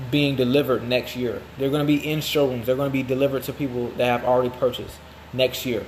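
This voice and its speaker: Over noticeable background noise, a man at medium pitch talks at a very fast pace in a monotone, flat intonation. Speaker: marketing agency founder. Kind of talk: promotional monologue.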